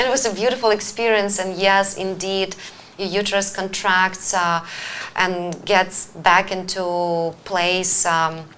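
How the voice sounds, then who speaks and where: Speaking fairly slowly, a woman has a bright, sharp tone at a medium pitch with fairly even intonation. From Ukraine. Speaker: wellness coach and show host. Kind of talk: live-stream talk show. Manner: hesitant, many fillers.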